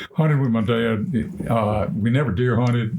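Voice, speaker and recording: A man talks at a medium pitch with lively intonation. Noticeable background noise sits behind him. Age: 70s. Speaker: podcast guest, retired duck hunter. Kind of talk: casual chat, storytelling.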